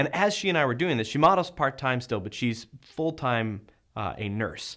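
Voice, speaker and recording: A man talks at a fairly quick pace in a plain, everyday voice with lively intonation. The recording is very clean, with a silent background. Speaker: video maker, interviewer. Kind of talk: casual talk to camera.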